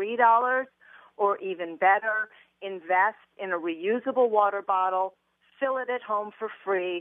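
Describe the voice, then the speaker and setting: A woman with an ordinary speaking voice talks fairly slowly at a fairly high pitch with ordinary pitch variation. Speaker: personal finance author. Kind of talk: interview. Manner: playful.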